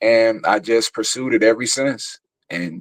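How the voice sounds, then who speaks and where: The speaker is a man. He talks with a Chicago accent. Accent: country-sounding Chicago speech. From Chicago, West Side (Austin). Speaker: actor and theater producer. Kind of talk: interview conversation. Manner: casual.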